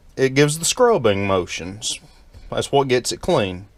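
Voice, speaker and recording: With music in the background, a man lets his pitch swing very widely while keeping a fairly slow pace. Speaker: DIY repair video maker. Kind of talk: tutorial. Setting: at home. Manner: casual.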